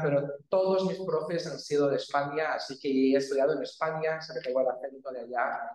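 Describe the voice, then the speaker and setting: With audible room echo, a man speaks at a fairly high pitch using fairly even intonation. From Brazil. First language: Portuguese (speaking Spanish). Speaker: geography researcher. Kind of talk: academic talk. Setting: university classroom with audience.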